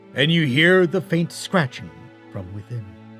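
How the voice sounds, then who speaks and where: With music playing in the background, a man speaks at a fairly high pitch. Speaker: voice actor. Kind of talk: audiobook narration. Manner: slow, dramatic.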